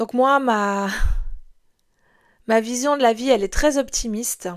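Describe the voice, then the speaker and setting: A woman with a slight Swiss French accent speaks at a very slow pace and a high pitch on a very clean recording with a silent background. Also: ordinary pitch variation. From Switzerland (moved from France at six). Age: 40s. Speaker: podcast host, life coach. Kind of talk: podcast monologue. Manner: hesitant, many fillers.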